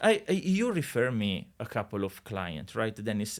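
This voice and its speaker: A man with an Italian accent talks at a moderate pace, his pitch swinging very widely. The recording is very clean with a silent background. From Italy. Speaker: real estate agent. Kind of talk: podcast interview. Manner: hesitant, many fillers.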